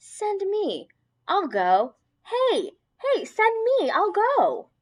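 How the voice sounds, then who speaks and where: A woman uses a put-on character voice at an extremely high pitch. She talks at a very slow pace. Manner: eager.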